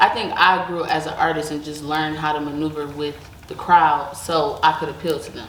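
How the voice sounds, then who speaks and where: A woman talks at a fairly quick pace with a very deep, low pitch and fairly even intonation, though her loudness swings widely. Audible room echo and noticeable background noise surround her voice. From Detroit, Michigan, then raised in Las Vegas. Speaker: rapper. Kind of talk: interview.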